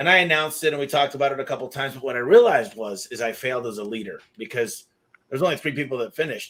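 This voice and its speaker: With an American accent, a man speaks at a very fast pace in a fairly high voice with lively intonation. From Michigan, US. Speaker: podcast host. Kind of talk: interview conversation.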